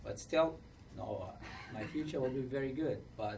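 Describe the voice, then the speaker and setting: Audible room echo surrounds a man talking at a moderate pace. His medium pitch holds fairly even intonation. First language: not English; English is third language. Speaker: refugee panelist. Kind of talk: panel discussion testimony.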